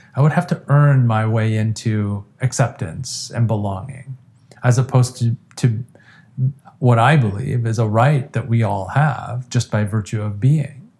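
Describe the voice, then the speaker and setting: In an American accent, a man speaks at medium pitch and a fairly slow pace. His tone is dark, mellow and somewhat breathy. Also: ordinary pitch variation. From Iran, then US from age ten. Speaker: addiction treatment specialist. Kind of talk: interview conversation.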